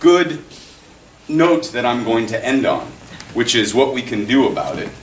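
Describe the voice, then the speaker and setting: Against noticeable background noise and audible room echo, a man talks at a fairly slow pace, leaving long, frequent pauses. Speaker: public defender and political science lecturer. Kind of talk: public talk. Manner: projecting, raised voice.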